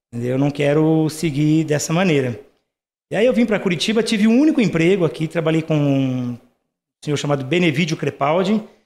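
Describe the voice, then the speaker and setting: This man has an ordinary speaking voice, pitched fairly high, with lively intonation, a moderate pace and very even loudness. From Brazil, rural Paraná interior. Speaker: dental lab owner. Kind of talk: casual interview chat.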